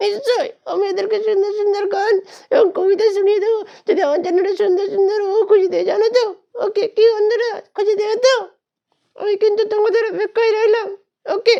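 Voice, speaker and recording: In a cartoonish character voice, a man talks at a fairly quick pace with an extremely high pitch. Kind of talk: comic ventriloquism. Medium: puppet show. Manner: cheeky, playful.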